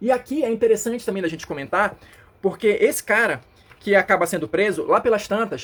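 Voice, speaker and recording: A high-pitched man at a fairly quick pace. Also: ordinary pitch variation. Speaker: comic book reviewer. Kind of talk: casual review monologue. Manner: hesitant fillers.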